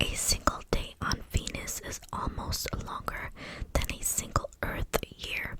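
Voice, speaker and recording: A woman whispers at a very slow pace as noticeable background noise carries on behind her. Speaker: ASMR content creator. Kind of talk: whispered ASMR fact reading. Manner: whispered, close-mic, soft.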